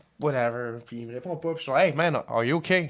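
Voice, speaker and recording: A man speaks in a Quebec accent. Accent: Québécois French. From Quebec, South Shore of Montreal. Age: 30s. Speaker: podcast guest. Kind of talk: casual chat, personal story. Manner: hesitant, many fillers.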